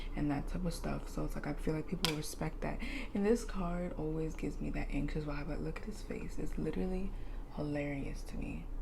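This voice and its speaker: Fairly quick in her delivery, a woman is heard through noticeable background noise and audible room echo. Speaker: tarot reader. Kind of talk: tarot reading monologue. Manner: animated.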